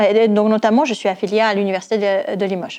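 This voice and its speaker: A woman's fairly high voice with a slight non-native accent, at a moderate pace. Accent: slight foreign accent in French. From Netherlands. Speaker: university lecturer and cryptography researcher. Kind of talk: research pitch presentation. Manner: some hesitations and fillers.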